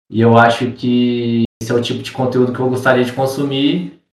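A man at medium pitch with fairly even intonation, an ordinary speaking voice and a fairly quick pace. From Minas Gerais, Brazil. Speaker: barber. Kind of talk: casual chat. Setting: remote call.

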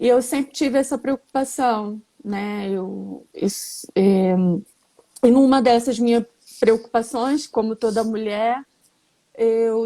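A woman speaks at a very slow pace with a high pitch and fairly even intonation. Her tone is dark and mellow. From Rio de Janeiro, Brazil. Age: 40s. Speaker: chef and cancer patient sharing her story. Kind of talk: live stream conversation, personal testimony. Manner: talkative.

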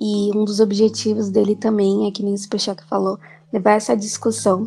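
At a fairly quick pace, a woman speaks at medium pitch with a dark, mellow tone that is somewhat breathy. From Brazil, São Paulo city. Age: 20s. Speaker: engineering student, student collective co-founder. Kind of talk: casual podcast chat.

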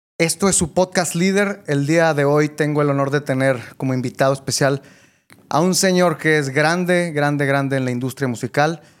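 A man has an ordinary speaking voice at a fairly high pitch. He talks at a fairly slow pace with ordinary pitch variation. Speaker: podcast host. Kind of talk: interview.

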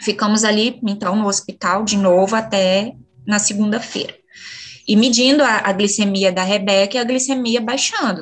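Her intonation stays fairly even and her pitch fairly high. This woman keeps a moderate pace. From Minas Gerais, Brazil (Bambuí). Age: 40s. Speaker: mother sharing breastfeeding story. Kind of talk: personal testimony in interview. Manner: halting, many fillers.

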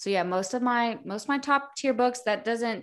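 Here a woman talks at a moderate pace. Her intonation is lively. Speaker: podcast host. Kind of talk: casual boozy chat with book reading. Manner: animated, excitable, profane.

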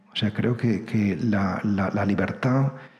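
Audible room echo accompanies a man speaking at a fairly slow pace. His voice is fairly low, with fairly even intonation. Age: 50s. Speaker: priest and writer. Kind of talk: lecture.

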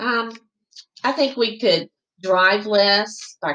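Woman's voice with a Southern US accent and fairly even intonation. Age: 50s. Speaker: chamber of commerce president. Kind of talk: interview.

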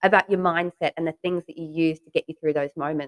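A woman with an Australian accent speaks at a fairly quick pace and a fairly low pitch. Her intonation is fairly even, and the sound is dry and close with no echo. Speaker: podcast host and real estate agent. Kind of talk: interview.

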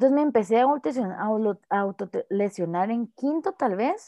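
The sound of this woman's speech is dry and close, with no echo at all. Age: 20s. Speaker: podcast guest sharing experience of suicidal thoughts. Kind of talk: testimony.

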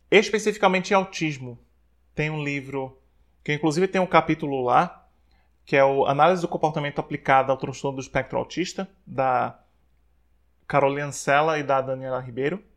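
Against a quiet background, a man talks at a moderate pace with long, frequent pauses. His pitch is fairly high with ordinary variation. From Brazil, Maceió (Alagoas, Northeast). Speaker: psychologist. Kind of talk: interview.

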